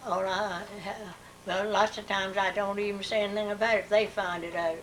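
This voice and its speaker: Against noticeable background noise, a woman with an American accent speaks at a fairly quick pace in a flat monotone at medium pitch. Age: 80s+. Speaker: elderly interviewee. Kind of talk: oral history interview. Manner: halting.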